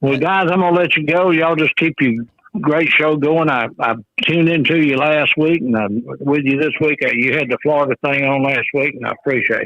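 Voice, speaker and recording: Speaking fairly quickly, a man with a Southern US accent has a fairly high pitch. His pitch varies in an ordinary way. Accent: Southern US (Georgia). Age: 70s. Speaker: caller. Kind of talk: casual chat.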